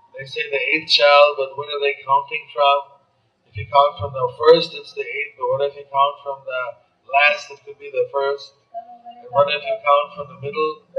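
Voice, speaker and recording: A man at a moderate pace, his loudness swinging widely, with faint music in the background. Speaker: religious teacher. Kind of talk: sermon. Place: hall.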